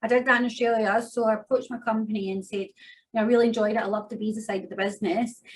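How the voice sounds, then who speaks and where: A woman talks at a very fast pace in a fairly high pitch. Her somewhat breathy voice holds a flat, monotone intonation. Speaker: migration agent. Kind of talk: interview.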